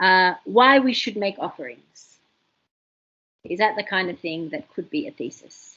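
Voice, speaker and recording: A woman speaks at a fairly slow pace with long, frequent pauses. Her medium-pitched voice swings very widely in pitch. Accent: Australian. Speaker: university tutor. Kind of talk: lecture. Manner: animated.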